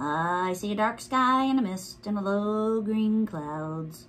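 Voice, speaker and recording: In a put-on character voice, a female-sounding speaker goes croaky at a medium pitch and a fairly slow pace. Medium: read story. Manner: skeptical, grumbling.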